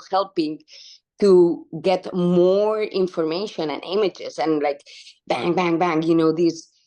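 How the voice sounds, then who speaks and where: At a moderate pace, a woman speaks with a fairly low pitch, a dark, mellow tone and ordinary pitch variation. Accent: Spanish. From Spain (Barcelona). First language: Spanish. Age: 30s. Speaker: wildlife conservation activist. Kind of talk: interview conversation.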